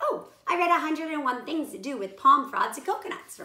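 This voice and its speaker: In a put-on character voice, a woman squeaks at an extremely high pitch with very wide pitch swings and a fairly quick pace. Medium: read story. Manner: polite, gentle.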